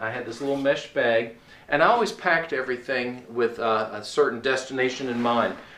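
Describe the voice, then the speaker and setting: Amid noticeable background noise and audible room echo, a man talks at a medium pitch and moderate pace. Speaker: long-distance hiker. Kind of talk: gear review tutorial. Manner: hesitant, many filler words.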